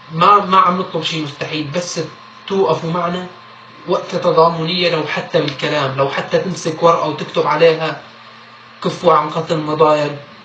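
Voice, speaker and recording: A man with a Syrian accent speaks at a high pitch and a moderate pace, his intonation monotone and flat. There is audible room echo and noticeable background noise. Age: young. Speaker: activist. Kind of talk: appeal.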